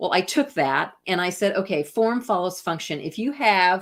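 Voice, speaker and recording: Here is a plain, everyday voice with an American accent. The recording is very clean, with a silent background. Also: woman. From US Midwest, Iowa. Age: 60s. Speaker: artist and researcher. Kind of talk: interview conversation.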